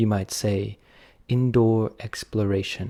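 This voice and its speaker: A man with a British accent speaks very slowly, his voice fairly low with a dark, mellow tone. The recording is very clean, with a silent background. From United Kingdom. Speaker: English teacher. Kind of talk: audiobook reading for learners. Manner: slow, clear.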